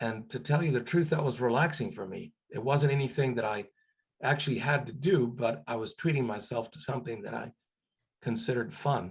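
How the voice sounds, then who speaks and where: A man with a medium-pitched, somewhat breathy voice speaks with lively intonation and big swings in loudness. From Cuba. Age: 60s. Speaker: retired scientist. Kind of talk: career advice talk. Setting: webinar video call. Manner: halting, many fillers and repetitions.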